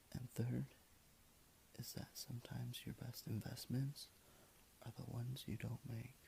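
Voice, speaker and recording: A man whispers in a relaxed tone. He leaves long, frequent pauses. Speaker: ASMR video creator. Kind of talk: ASMR quote reading. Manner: soft, relaxed.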